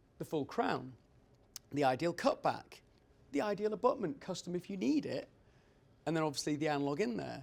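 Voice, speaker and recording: A man talks with a British accent and lively intonation. The recording is very clean, with a silent background. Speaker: dental lab owner and technician. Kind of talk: conference presentation. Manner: fast.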